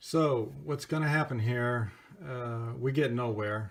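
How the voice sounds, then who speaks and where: A man's medium-pitched voice at a very slow pace. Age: 60s. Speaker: vlogger narrating own dispute footage. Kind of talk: casual video commentary. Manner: halting, with many fillers.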